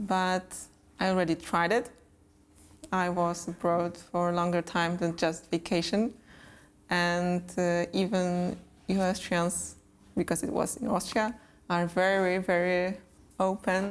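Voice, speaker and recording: On a very clean recording with a silent background, the speech runs at a fairly slow pace with monotone, flat intonation, very even loudness, and long, frequent pauses. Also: woman, fairly low pitch for a woman. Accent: Polish. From Poland. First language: Polish. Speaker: interviewee. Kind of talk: interview.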